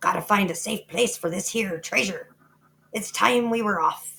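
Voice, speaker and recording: A female-sounding, put-on character voice bellows in a raspy, medium-pitched tone. The pace is moderate. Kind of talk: comic pirate talk. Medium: read story. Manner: bellowing, blustery.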